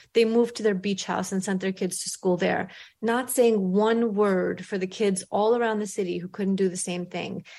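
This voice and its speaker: A woman with a New York accent, medium pitch, fairly even intonation and a moderate pace against a quiet background. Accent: New York American English. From grew up in Brooklyn, New York, immigrant. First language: not English. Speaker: author and newspaper columnist. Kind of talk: interview.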